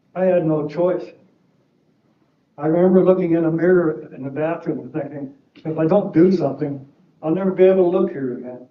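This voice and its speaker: A man's high-pitched voice at a fairly quick pace, with long, frequent pauses, fairly even intonation and audible room echo. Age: 70s. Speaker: defendant in a civil trial, serving a prison sentence. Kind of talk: courtroom statement. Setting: courtroom.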